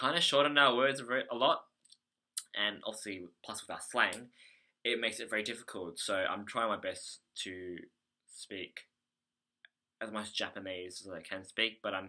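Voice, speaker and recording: The tone is bright and sharp, with an Australian accent and ordinary pitch variation. The pace is moderate, broken by long, frequent pauses. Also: man, fairly low pitch for a man. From Australia, Melbourne. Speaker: English conversation teacher, vlogger. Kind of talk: video diary. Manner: halting, many fillers.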